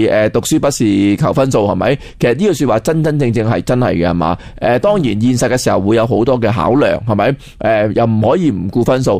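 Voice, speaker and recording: Very fast, lively speech from a man at a medium pitch. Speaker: Chinese culture scholar. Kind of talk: educational radio interview. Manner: halting, many fillers.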